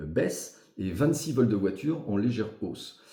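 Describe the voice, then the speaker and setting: A man speaks at a fairly slow pace in a fairly low, somewhat breathy voice with a dark, mellow tone and lively intonation. Room echo is audible. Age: 60s. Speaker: local election candidate. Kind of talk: interview. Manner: hesitant with frequent fillers.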